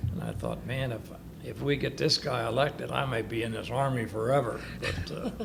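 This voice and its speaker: A man at medium pitch with ordinary pitch variation and a fairly quick pace, with audible room echo and noticeable background noise. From northern Kentucky. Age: 80s+. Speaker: war veteran. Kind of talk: oral history interview. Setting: senior living facility.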